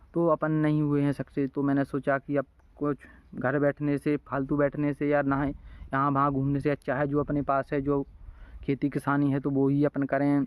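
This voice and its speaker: At a moderate pace, a man with a fairly high pitch speaks in a monotone, flat intonation with very even loudness, in a dry, close sound with no echo and a quiet background. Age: 20s. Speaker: village vlogger and farmer. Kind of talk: casual vlog monologue. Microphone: phone mic, no external mic.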